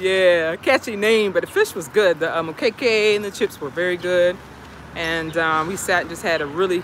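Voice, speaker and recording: A woman speaks in a fairly low pitch with ordinary pitch variation, in a dry sound with no echo and light background noise. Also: moderate pace. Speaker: livestream host. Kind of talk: casual vlog chat. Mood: cheerful, relaxed. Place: street. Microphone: phone near.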